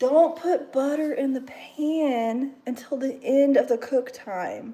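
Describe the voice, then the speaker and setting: A woman's high-pitched voice with a dark, mellow tone, ordinary pitch variation and a very slow pace. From Kentucky, about two hours from Louisville. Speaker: livestreamer cooking. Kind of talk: casual live cooking stream chat. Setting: home kitchen livestream. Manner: animated.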